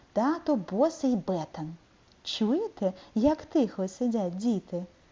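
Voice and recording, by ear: The passage is read aloud in a natural voice, its intonation lively.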